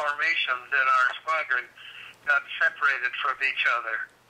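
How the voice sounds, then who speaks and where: Male speech, fairly slow, with noticeable background noise. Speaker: war veteran. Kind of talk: interview.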